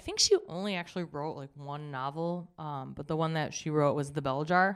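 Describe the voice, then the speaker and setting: In a very clean recording with a silent background, a woman speaks at a moderate pace in an unremarkable speaking voice. Her pitch is fairly low, with ordinary variation. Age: 30s. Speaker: life coach. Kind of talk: casual chat.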